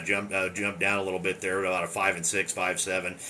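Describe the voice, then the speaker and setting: A man at a very fast pace, fairly low in pitch. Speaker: amateur radio operator. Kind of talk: ham radio contact. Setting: radio transmission from basement. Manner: loud.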